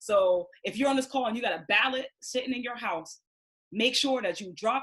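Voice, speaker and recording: A woman talks with ordinary pitch variation. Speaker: community organizer. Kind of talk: speech. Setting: video call. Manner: fast; animated.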